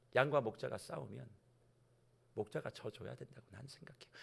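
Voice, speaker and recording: Talking at a very fast pace, a man shows big swings in loudness and leaves long, frequent pauses. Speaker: senior pastor. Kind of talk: sermon. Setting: church, early-morning revival service.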